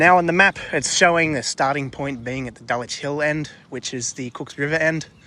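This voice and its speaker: A man speaks with an Australian accent at a moderate pace, with hardly any pauses. His tone is bright and sharp, and his loudness swings a lot. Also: fairly high pitch for a man, ordinary pitch variation. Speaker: travel vlogger. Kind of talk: walking vlog narration. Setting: outdoors. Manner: relaxed.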